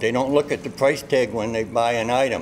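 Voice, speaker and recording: A man's medium-pitched voice in a Boston accent, moderate in pace and fairly even in intonation, with noticeable background noise. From Somerville, Massachusetts. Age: 70s. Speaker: shopper interviewed. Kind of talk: street interview.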